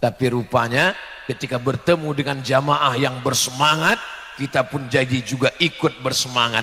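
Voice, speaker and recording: A loud, booming put-on character voice at a moderate pace, with light background noise. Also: man, medium pitch for a man. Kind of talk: sermon to a congregation.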